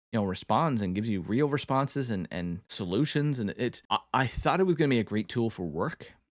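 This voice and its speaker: A man of medium pitch talks fairly quickly with hardly any pauses and very wide pitch swings, in a dry, close sound with no echo. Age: 20s. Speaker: content creator. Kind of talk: casual commentary video. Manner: halting, many repeated words.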